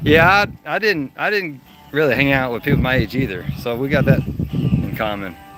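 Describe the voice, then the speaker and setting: Music plays behind a man speaking with an American accent. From Texas. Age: 40s. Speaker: live streamer. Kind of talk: casual chat. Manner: casual, conversational.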